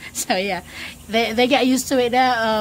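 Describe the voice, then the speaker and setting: A woman speaks at a fairly quick pace with a Filipino accent. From Philippines. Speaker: travel vlogger. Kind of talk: casual vlog talk. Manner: loud; halting, many fillers.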